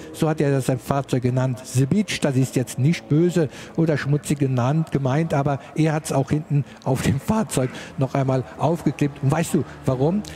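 At a moderate pace, a man talks at a fairly high pitch with ordinary pitch variation and very even loudness. Noticeable background noise runs behind him. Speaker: motorsport commentator. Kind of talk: live commentary.

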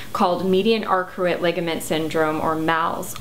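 A woman speaks at a moderate pace with a fairly low pitch. There is light background noise. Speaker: health vlogger. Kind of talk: casual vlog chat. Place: home room.

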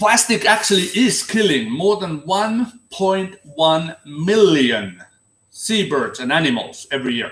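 In a Finnish accent, a man with a high pitch speaks at a very slow pace amid audible room echo. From Finland. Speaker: seaman and ocean activist; vlogger. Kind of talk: solo monologue to camera. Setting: livestream. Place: home room. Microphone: webcam.

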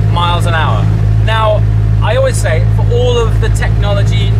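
A man talks at a fairly quick pace. Loud background noise surrounds him. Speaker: presenter. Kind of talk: casual vlog chat. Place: car. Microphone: phone near.

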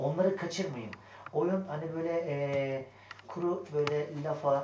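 Light background noise and audible room echo accompany a man speaking with ordinary pitch variation. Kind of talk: pre-show notes to actors. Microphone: camera far.

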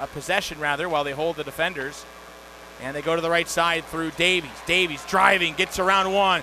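High-pitched, animated man's voice at a fairly quick pace amid noticeable background noise. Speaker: hockey play-by-play announcer. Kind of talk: live sports commentary, play-by-play of a hockey game. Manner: animated, rising excitement on goals.

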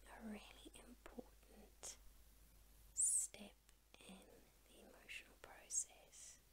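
A woman is whispering. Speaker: ASMR artist. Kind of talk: ASMR girlfriend roleplay. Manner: gentle, comforting. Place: home room. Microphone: studio mic.

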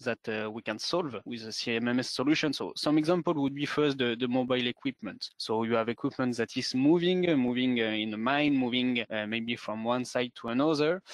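With a French accent, a man talks at a medium pitch. He leaves hardly any pauses. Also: dry, close sound with no echo. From France. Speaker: sales manager. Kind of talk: webinar presentation. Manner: halting.

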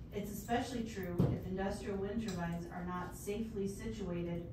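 A woman at a moderate pace with fairly even intonation, amid noticeable background noise and audible room echo. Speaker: member of the public giving comment. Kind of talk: prepared public comment. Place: meeting room. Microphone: camera far.

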